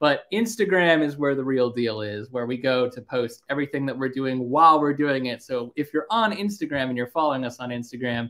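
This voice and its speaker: Against a quiet background, a man talks at a fairly quick pace with ordinary pitch variation and hardly any pauses. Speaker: livestream host. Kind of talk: casual livestream chat. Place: home room. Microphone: webcam.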